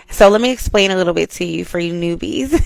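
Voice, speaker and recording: Her tone is animated and her intonation lively as this woman speaks at a medium pitch. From US South, Georgia. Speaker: podcast host, spiritual wellness. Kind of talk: casual podcast monologue.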